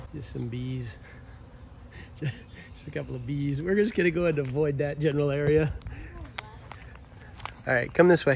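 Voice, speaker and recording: A man talks with big swings in loudness, ordinary pitch variation and long, frequent pauses. The sound is dry with no echo, with light background noise. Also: moderate pace. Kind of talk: casual vlog chat. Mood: wary of bees. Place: open country. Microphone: phone near.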